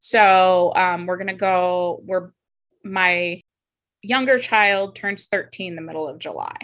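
Recorded very cleanly against a silent background, a woman speaks very slowly at a medium pitch, her intonation fairly even but her loudness swinging widely. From US, Navy family, Washington home base. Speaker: aspiring pilgrim. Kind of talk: interview.

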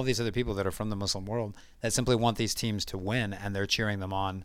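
A normal speaking voice from a man with an American accent, fairly low in pitch and at a fairly quick pace. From United States. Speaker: football fan guest. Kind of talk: casual chat.

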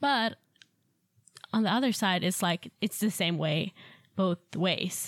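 Someone with a Swedish accent speaks at a very slow pace, with ordinary pitch variation, very even loudness and long, frequent pauses, in a dry, close recording with no echo. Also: woman, medium pitch for a woman. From Sweden. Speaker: au pair. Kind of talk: casual chat.

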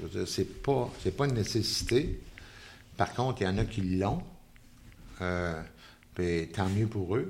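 Speaking very slowly in a Quebec accent, a man keeps a fairly low pitch with ordinary variation. He leaves long, frequent pauses. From Quebec City, Quebec. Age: 70s. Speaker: painter. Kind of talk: interview. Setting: artist's studio.

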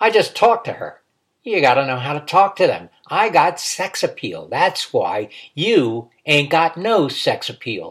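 A man's put-on character voice, growling and high-pitched, at a moderate pace on a very clean recording with a silent background. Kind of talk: comic character voice in a read memoir. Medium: talk show. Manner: gruff, snappish, defensive, boastful.

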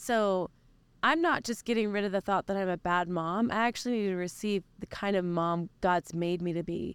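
Speaking with an American accent in an ordinary speaking voice, a woman at a medium pitch and moderate pace shows ordinary pitch variation, in a very clean recording with a silent background and a dry, close sound with no echo. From Oklahoma. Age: 30s. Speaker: worship leader. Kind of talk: interview. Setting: mobile podcast recording.

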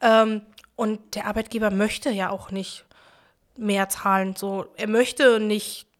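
A woman at a medium pitch speaks at a fairly slow pace in a monotone, flat intonation. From Berlin-Neukölln. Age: 20s. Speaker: trade union youth activist. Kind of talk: casual interview.

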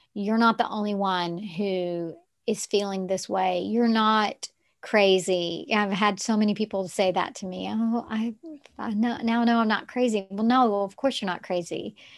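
In a plain, everyday voice, a woman with an American accent speaks at a moderate pace and medium pitch with fairly even intonation. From Texarkana, US South. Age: 50s. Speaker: yoga teacher and coach. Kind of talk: casual interview chat.

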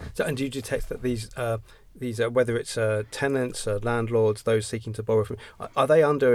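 A man's unremarkable speaking voice, at a fairly quick pace with ordinary pitch variation. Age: 50s. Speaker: podcast host. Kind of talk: interview.

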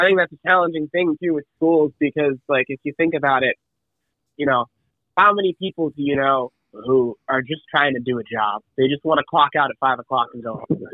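A man with an American accent and a fairly high pitch speaks at a fairly quick pace with ordinary pitch variation in an unremarkable speaking voice. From Massachusetts. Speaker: student and co-author. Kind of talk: interview. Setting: phone call.

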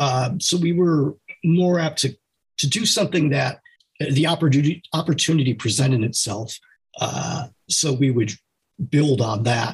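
A somewhat breathy man with an American accent, fairly high pitch, very even loudness and long, frequent pauses. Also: ordinary pitch variation, moderate pace. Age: 50s. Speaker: fiction author. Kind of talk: interview.

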